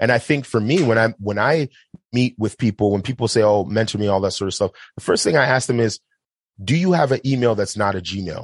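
A man with a normal speaking voice talks at a fairly quick pace in a medium pitch, with ordinary pitch variation. The sound is dry and close with no echo. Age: 30s. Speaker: film director. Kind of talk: casual chat.

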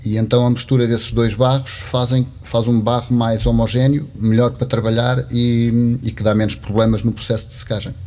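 Speaking at a moderate pace with hardly any pauses, a man keeps his medium-pitched voice in a monotone, flat intonation. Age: 50s. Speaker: potter. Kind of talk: casual chat. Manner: halting.

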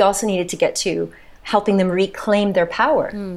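At a moderate pace, a woman uses a normal speaking voice with a medium pitch and ordinary pitch variation. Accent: American. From United States. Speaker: physician and trauma therapist. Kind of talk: casual chat.

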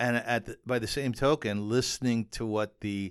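With a Canadian accent and a normal speaking voice, a man talks at a moderate pace with fairly even intonation on a very clean recording with a silent background. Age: 50s. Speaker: podcast host and columnist. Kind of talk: casual chat.

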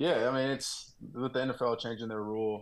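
A man's ordinary speaking voice with an American accent, fairly quick in pace, with fairly even intonation. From Texas. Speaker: NFL rookie wide receiver. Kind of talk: interview.

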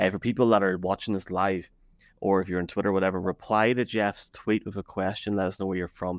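With an Irish accent, a man speaks at a very fast pace and a very deep, low pitch. The sound is dry and close, with no echo. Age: 30s. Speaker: football podcaster. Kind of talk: casual sports chat. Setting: live video stream. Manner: animated.

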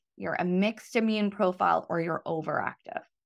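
A woman's lively, fairly quick speech with vocal fry, on a very clean recording with a silent background. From Ireland (Dublin), also Singapore. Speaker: reproductive endocrinologist. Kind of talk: interview.

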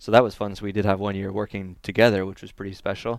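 In a General American accent, a man with a fairly low pitch talks at a very fast pace on a very clean recording with a silent background. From Northern California. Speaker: racing driver. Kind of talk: interview. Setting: track media center.

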